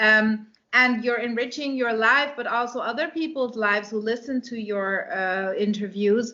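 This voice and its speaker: A woman with a Dutch accent talks at a fairly slow pace in a fairly high pitch. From Netherlands. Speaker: romance author and English teacher. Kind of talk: interview. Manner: halting, many fillers.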